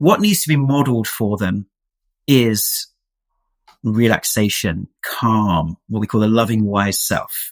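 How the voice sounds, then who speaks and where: This is an unremarkable speaking voice. It moves at a fairly slow pace with ordinary pitch variation. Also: man, medium pitch for a man. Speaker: health practitioner and program founder. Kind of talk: interview.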